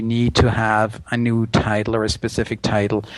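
A man talks in a monotone, flat intonation with a German accent. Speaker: interpreter and language video creator. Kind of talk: casual chat.

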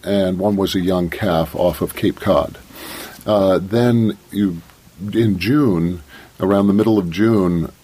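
A man with an American accent, very deep and low in pitch, at a very slow pace with fairly even intonation, over noticeable background noise. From coastal Maine (Eastport), US. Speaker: whale watch naturalist. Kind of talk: radio interview. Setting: radio studio.

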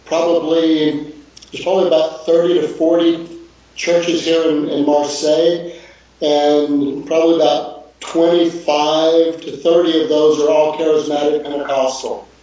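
A man with a fairly high pitch and an American accent talks fairly slowly in a monotone, flat way, with noticeable background noise and audible room echo. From Texas, Houston. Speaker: missionary. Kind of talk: video call interview.

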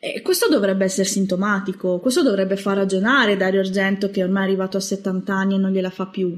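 A woman talks at a very fast pace with hardly any pauses. Her pitch is medium and her intonation monotone and flat. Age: 20s. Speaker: horror film writer. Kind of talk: casual chat.

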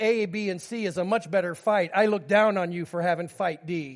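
A man talks with ordinary pitch variation. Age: 50s. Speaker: pastor. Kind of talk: sermon. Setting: church.

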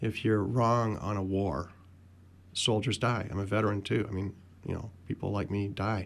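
With a plain, everyday voice, a man talks at a fairly low pitch and ordinary pitch variation. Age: 60s. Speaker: political activist. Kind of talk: radio panel discussion. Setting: radio studio.

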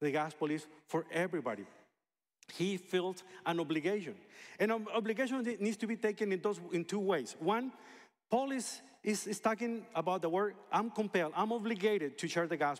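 A man's high-pitched voice in a Spanish accent, at a fairly quick pace with ordinary pitch variation. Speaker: pastor. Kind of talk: sermon.

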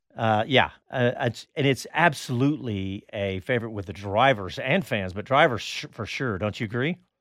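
With an American accent, a man with medium pitch and an unremarkable speaking voice talks at a moderate pace with lively intonation and hardly any pauses, on a very clean recording with a silent background. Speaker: radio host. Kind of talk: radio show banter. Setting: live studio recording. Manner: chatty, upbeat.

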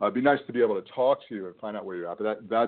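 Very fast speech from a man, medium in pitch, with ordinary pitch variation. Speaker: weight loss coach. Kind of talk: live coaching Q&A call. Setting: phone call. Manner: casual, conversational, friendly.

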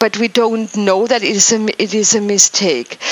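Over noticeable background noise, a woman talks at a fairly slow pace with a fairly high pitch. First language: not English. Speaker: spiritual wellness show host. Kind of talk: casual chat. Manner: halting.

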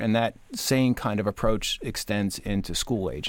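A man's fairly low, normal speaking voice at a moderate pace, with fairly even intonation, on a very clean recording with a silent background. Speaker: education association executive. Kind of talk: radio panel discussion.

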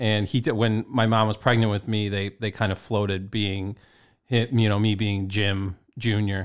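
Speaking at a moderate pace, a man with a fairly low pitch delivers his words in a flat monotone. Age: 30s. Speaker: podcast co-host. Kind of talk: casual chat. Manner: halting, repeats words.

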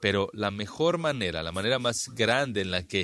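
This man's voice sits fairly low in pitch and carries a bright, sharp tone. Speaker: Bible teacher. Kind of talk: Bible study lecture.

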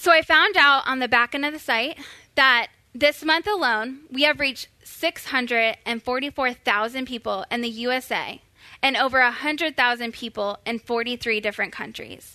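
Bright and sharp in tone, a woman uses a raised, projected voice at a high pitch, with ordinary pitch variation and a moderate pace, in a dry, close sound with no echo. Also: quiet background. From Florida. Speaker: church social media resident. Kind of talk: church workshop talk.

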